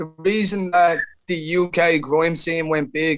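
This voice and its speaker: This man speaks with an Irish accent. His pitch is fairly high. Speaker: rapper. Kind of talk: interview answer.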